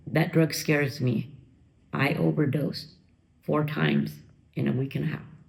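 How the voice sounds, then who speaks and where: In a room with audible echo, a woman speaks at a moderate pace with long, frequent pauses. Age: 50s. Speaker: former drug user sharing her recovery story. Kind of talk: interview testimony.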